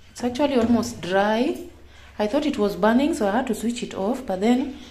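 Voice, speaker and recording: Room echo is audible behind a woman speaking with ordinary pitch variation. Background noise is noticeable. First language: Kenyan local language. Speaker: vlogger. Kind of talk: casual vlog tutorial. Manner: halting.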